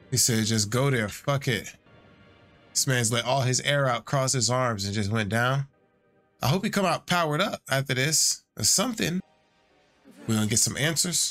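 A man at a moderate pace with long, frequent pauses and faint music in the background. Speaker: streamer. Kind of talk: reaction commentary. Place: home room.

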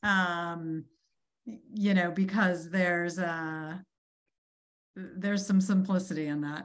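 Against a quiet background, a woman with an American accent and fairly low pitch speaks at a very slow pace, her intonation fairly even and her pauses long and frequent. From Boston, US. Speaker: chief marketing officer; guest. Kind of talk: interview. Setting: video call. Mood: relaxed, reflective. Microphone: video call.

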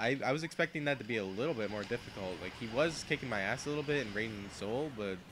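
With music in the background, a man rattles off his words at a very fast pace and with lively intonation. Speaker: gaming commentator. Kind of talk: casual live game commentary.

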